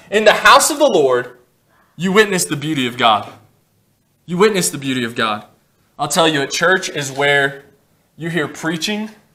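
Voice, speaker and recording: Here a man speaks at a fairly high pitch, with very wide pitch swings and a bright, sharp tone. He leaves long, frequent pauses. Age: 20s. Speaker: pastor preaching a sermon. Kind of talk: informal preaching with humor. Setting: church service. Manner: fast talker. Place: church. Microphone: camera far.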